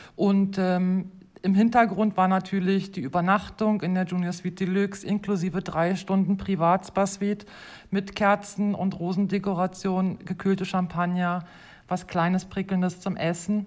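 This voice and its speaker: Her intonation is flat and monotone. The woman talks at a medium pitch. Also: moderate pace. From Germany. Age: 40s. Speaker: hotel host. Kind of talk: casual interview.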